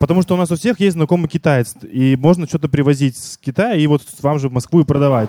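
A man rattles along at a very fast pace in a fairly high voice. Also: ordinary pitch variation, dry, close sound with no echo. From Vladivostok, Russia. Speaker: audience member asking a question. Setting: bar with live audience.

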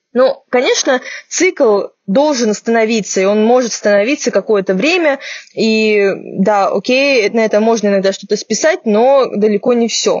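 An ordinary speaking voice from a woman, fairly high-pitched, at a fairly slow pace, with ordinary pitch variation and very even loudness. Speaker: podcast host, medical journalist. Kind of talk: casual chat. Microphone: poor sound due to technical problems.

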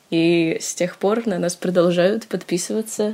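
Here a woman speaks in a plain, everyday voice with fairly even intonation. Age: young. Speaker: student, meme page admin. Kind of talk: casual chat.

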